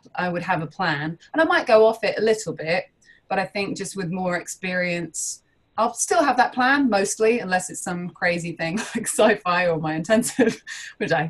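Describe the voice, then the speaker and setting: A woman's somewhat breathy voice with a London accent, medium in pitch, with ordinary pitch variation and a moderate pace. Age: 30s. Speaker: improv teacher and performer. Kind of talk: interview.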